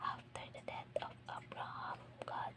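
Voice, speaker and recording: Someone is whispering against noticeable background noise. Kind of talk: whispered scripture reading for relaxation. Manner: whispered, soft-spoken, slow.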